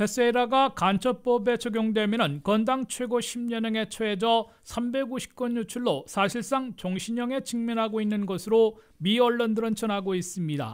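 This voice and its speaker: A man with a high voice and ordinary pitch variation, going at a fairly slow pace with hardly any pauses. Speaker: news reporter. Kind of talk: news reading. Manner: formal.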